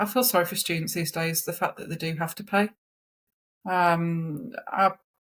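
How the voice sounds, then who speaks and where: A somewhat breathy woman's voice at medium pitch and moderate pace, with fairly even intonation, on a very clean recording with a silent background. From English East Midlands, Nottingham/Derby area. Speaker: therapeutic radiographer and practice educator. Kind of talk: interview conversation. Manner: conversational, many fillers (um, you know).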